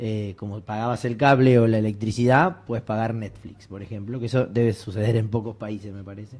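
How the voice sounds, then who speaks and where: With a Rioplatense accent, a man talks at a fairly quick pace, hardly pausing and keeping his intonation fairly even. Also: medium pitch for a man, big swings in loudness. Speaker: university researcher. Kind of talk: academic panel discussion.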